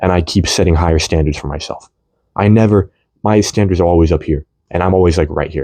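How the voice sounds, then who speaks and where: A man talks at a very fast pace. His voice is very deep and low, with a dark, mellow tone. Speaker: vlogger. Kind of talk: rant monologue. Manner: animated; repetitive stammering.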